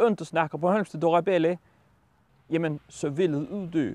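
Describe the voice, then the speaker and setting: A man's high-pitched voice at a fairly slow pace, fairly even in intonation, with a dry sound and no echo. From Bornholm, Denmark. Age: 40s. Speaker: farmer and factory worker. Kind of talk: interview answer. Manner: hesitant, many repetitions. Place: farm machine. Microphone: lapel.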